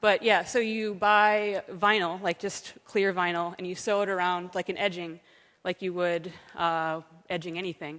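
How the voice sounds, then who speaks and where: In an American accent, a woman at medium pitch speaks at a moderate pace with fairly even intonation on a very clean recording with a silent background. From United States. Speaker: software developer and conference speaker. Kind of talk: conference talk. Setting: stage with audience. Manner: hesitant, many fillers.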